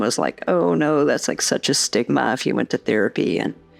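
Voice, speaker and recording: The speech comes at a fairly quick pace, with noticeable background noise. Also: woman. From Massachusetts. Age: 60s. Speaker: holistic therapist. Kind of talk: interview. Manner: conversational.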